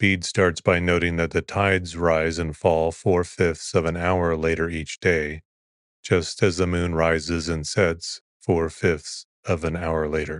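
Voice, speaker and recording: Calm and soothing, a man speaks fairly slowly in a flat monotone. His pitch is very deep and low. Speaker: podcast host. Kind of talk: reading aloud. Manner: calm, soothing delivery.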